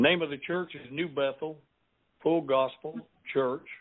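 A man speaks with a Southern US accent. His pace is fairly slow, with ordinary pitch variation. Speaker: pastor. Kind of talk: interview. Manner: preachy.

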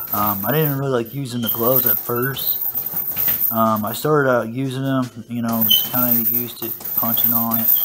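Noticeable background noise runs behind a man who keeps a moderate pace. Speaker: martial arts fitness youtuber. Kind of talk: casual monologue video, workout commentary. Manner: casual, rambling, with many filler words. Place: gym.

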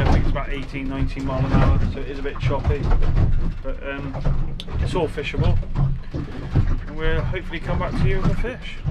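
Loud background noise surrounds a man who speaks at a moderate pace. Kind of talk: casual vlog chat. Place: boat. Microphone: phone near.

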